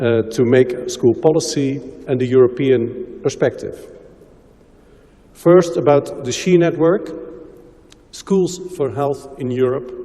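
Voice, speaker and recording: Very slowly and with long, frequent pauses, a man speaks in a Dutch accent at a fairly high pitch. His pitch varies in an ordinary way, and background noise is noticeable. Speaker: health promotion expert. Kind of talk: conference presentation.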